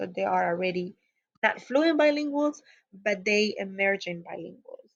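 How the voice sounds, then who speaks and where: With a Spanish accent, a woman speaks at a medium pitch and a moderate pace against a quiet background. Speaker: teacher educator. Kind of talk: lecture. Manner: hesitant with frequent fillers.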